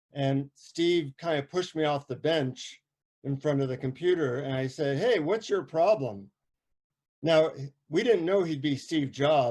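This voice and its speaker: Speaking with an American accent, a man has an unremarkable speaking voice that sits fairly high in pitch. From United States. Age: 60s. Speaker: psychotherapist and author. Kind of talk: talk before a guided meditation. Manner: casual, with many fillers.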